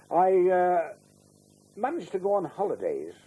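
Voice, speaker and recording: Speaking with a Liverpool accent, a man talks at a fairly slow pace. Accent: Scouse (Liverpool). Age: 80s+. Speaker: pensioner. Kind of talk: interview testimony. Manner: halting with fillers.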